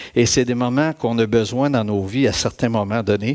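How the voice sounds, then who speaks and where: A man talks at a fairly slow pace with a Quebec accent. His pitch is medium and his intonation fairly even. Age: 60s. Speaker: church speaker giving testimony. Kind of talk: testimony.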